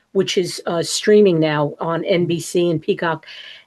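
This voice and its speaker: A woman speaks with a strong New York accent. Her pitch is medium and her pace moderate. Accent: strong New York, Queens. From New York, Queens. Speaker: actress. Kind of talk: interview.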